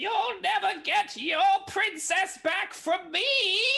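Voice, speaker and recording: In a put-on character voice pitched extremely high, the speaker goes at a very slow pace over light background noise. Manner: theatrical, villainous.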